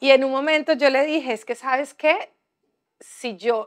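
A woman's voice shows ordinary pitch variation over a quiet background. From Colombia, Bahía Solano (Chocó); Chocó, Colombia. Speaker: writer and activist; speaker. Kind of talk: panel discussion. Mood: calm, reflective. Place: hall. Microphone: lapel.

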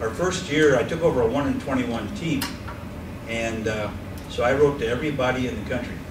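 There is noticeable background noise. A man is talking through it. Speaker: college basketball coach. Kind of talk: casual talk to an audience with Q&A. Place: meeting room. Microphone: camera far.

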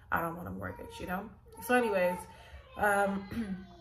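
With an American accent, a woman talks while noticeable background noise carries on around her. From Los Angeles. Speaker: YouTuber sharing property buying experience. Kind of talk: casual vlog tutorial; casual vlog chat. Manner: casual, many fillers. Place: home room. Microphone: phone near.

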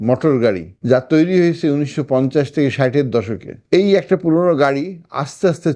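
A man speaks with a fairly high pitch and a dark, mellow tone. His intonation is lively and his loudness very even. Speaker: doctor. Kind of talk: health talk.

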